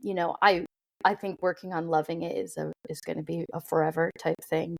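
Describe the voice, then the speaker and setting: Fairly low in pitch and with vocal fry, a woman speaks fairly quickly with an American accent and fairly even intonation in a dry, close sound with no echo. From US Midwest. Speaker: social media creator, mental health advocate. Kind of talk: podcast interview answer.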